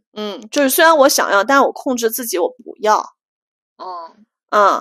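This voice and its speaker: Her pitch high and swinging very widely, a woman speaks at a fairly slow pace with a bright, sharp tone and big swings in loudness. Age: 30s. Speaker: podcast co-host. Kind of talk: casual chat. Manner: animated.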